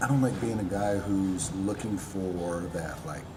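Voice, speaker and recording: A quiet man with a fairly low pitch and ordinary pitch variation speaks at a fairly slow pace, with audible room echo and noticeable background noise. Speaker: apparel brand owner and personal trainer. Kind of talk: casual chat. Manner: quiet in conversation, talks with hands.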